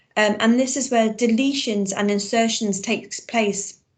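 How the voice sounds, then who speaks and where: A somewhat breathy woman's voice with a fairly high pitch, fairly even intonation and a fairly slow pace. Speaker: biology teacher. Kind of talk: online lesson.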